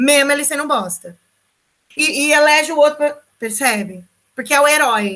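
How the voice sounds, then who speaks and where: A raised, projected voice with a bright, sharp tone, lively intonation, a moderate pace, and long, frequent pauses. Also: woman, high pitch for a woman. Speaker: sociology teacher. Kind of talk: online lecture.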